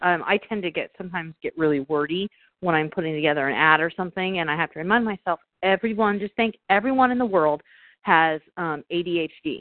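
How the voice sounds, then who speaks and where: Speaking at a moderate pace with lively intonation, a woman has an unremarkable speaking voice. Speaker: sales professional. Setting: phone call.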